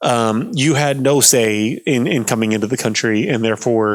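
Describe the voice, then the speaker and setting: A man mumbles with fairly even intonation. The recording is very clean and the background silent. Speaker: political commentator. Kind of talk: explainer livestream, casual. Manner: mumbling; halting, many fillers.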